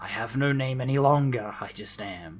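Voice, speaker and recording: Over faint background music, a man uses a put-on character voice with a menacing, hissing tone at medium pitch. He keeps a moderate pace. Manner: hissing, menacing.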